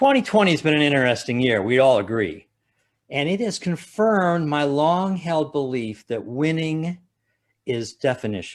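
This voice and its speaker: Speaking at a moderate pace with a Midwestern American accent, a man uses lively intonation and a fairly high pitch in a very clean recording with a silent background. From Ohio, USA. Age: 70s. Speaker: stand-up comedian. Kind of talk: stand-up comedy routine.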